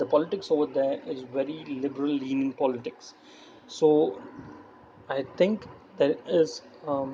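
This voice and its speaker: Pausing long and often, a man with a non-native accent speaks at a fairly slow pace and a fairly high pitch with ordinary pitch variation. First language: not English. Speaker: political commentary youtuber. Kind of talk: screen-recording commentary. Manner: halting.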